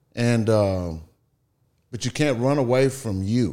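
A man speaks in a Southeast Texas accent at a medium pitch. His tone is dark and mellow, with ordinary pitch variation. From Texas, Beaumont. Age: 50s. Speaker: real estate investor. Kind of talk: casual interview.

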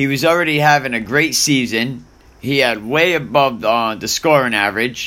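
This man's tone is bright and sharp. There is ordinary variation in his pitch. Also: medium pitch for a man, moderate pace. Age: 40s. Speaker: sports podcaster. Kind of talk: casual monologue. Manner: casual, animated.

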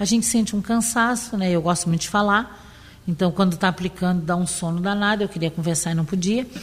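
Her voice is medium in pitch and varies in an ordinary way. The woman speaks very fast. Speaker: cancer survivor. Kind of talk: testimony.

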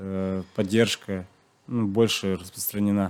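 The man's intonation is monotone and flat, at a moderate pace. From Chuvashia, rural village. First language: Chuvash (speaking Russian). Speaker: long-distance runner. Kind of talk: interview. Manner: hesitant, many fillers.

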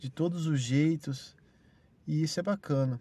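Spoken at a very slow pace with ordinary pitch variation, the voice sits over a quiet background. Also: man. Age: 30s. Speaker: podcaster. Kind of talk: casual monologue. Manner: animated.

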